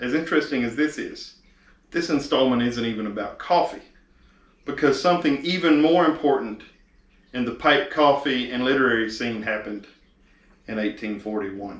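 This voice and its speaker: Speaking in an East Texas accent at a moderate pace, a man uses a medium pitch with ordinary variation and long, frequent pauses. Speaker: video host. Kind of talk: casual talk to camera. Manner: hesitant, filler-heavy.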